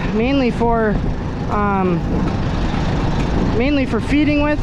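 Loud background noise surrounds a voice whose sound is dry with no echo. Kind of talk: casual vlog chat.

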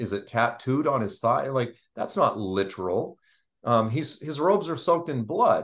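A man with an American accent at a moderate pace, ordinary pitch variation, quiet background. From Boston. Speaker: Bible teacher. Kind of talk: Bible study discussion. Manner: hesitant, many fillers. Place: home room. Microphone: video call.

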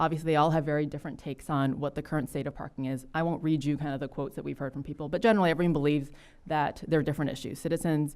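A woman with a very deep, low pitch, very fast pace and fairly even intonation. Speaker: city council member. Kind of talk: presentation at council work session.

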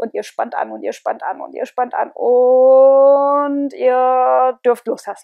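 A woman speaks very slowly at a high pitch with ordinary pitch variation and hardly any pauses. Her tone is calm and soothing, the sound dry with no echo, and the background quiet. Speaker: relaxation guide. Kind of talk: guided meditation. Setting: home, with headset microphone. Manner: calm, slow, soothing, repetitive. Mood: calm, soothing. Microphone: earbuds.

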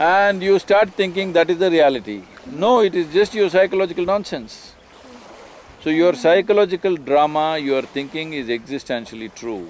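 A man speaks with a high pitch and lively intonation. The sound is dry with no echo, with light background noise. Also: moderate pace. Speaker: spiritual teacher being interviewed. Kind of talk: interview answer. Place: waterside.

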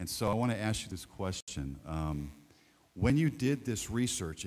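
Pitched fairly low, a man talks at a moderate pace. His pitch swings very widely. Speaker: soccer coach. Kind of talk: feedback to a student. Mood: warm, encouraging, pastoral. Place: hall. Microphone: handheld.

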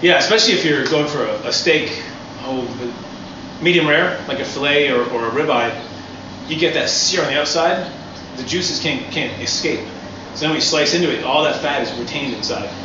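The speech runs at a fairly quick pace with ordinary pitch variation. Audible room echo and noticeable background noise fill the recording. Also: man. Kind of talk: tutorial. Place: street.

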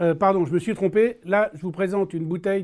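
On a very clean recording with a silent background, a man speaks at a high pitch in a dark, mellow tone. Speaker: watch video host. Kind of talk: casual tutorial. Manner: animated.

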